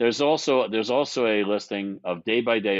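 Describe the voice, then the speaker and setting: Moderately paced speech from a man, an unremarkable speaking voice with ordinary pitch variation. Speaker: audio engineer.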